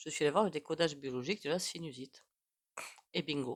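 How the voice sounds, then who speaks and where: A woman speaks at a very deep, low pitch. Her pace is moderate and her pitch varies in an ordinary way. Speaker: tarot reader and psychic. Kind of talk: casual chat to camera. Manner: hesitant, many fillers.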